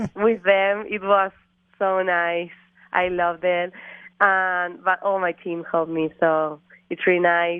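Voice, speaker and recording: With an Argentine accent, a woman speaks at a fairly slow pace in a fairly low, monotone, flat voice, with long, frequent pauses. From Argentina. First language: Spanish. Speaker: college golfer. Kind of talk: interview. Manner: halting.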